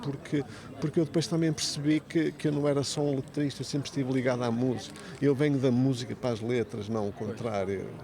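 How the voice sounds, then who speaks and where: A man speaks at a fairly quick pace in a fairly high pitch with ordinary pitch variation. Noticeable background noise runs underneath. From Porto, Portugal. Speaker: lyricist and writer. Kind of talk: podcast interview answer.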